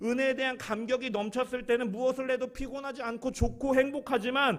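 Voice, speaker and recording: A man's voice at an extremely high pitch, with fairly even intonation. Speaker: pastor. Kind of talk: sermon. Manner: fast.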